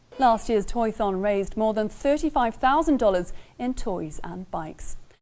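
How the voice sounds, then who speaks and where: A woman with an English accent, fairly high pitch, lively intonation and a moderate pace. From England. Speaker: TV news anchor. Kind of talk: news reading; casual chat.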